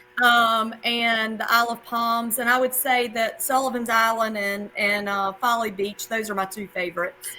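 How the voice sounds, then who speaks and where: Music plays behind a voice with a South Carolina accent that moves at a moderate pace in a monotone, flat intonation. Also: woman, fairly high pitch for a woman. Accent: Southern US (South Carolina). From US South, South Carolina. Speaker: math teacher. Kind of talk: casual interview.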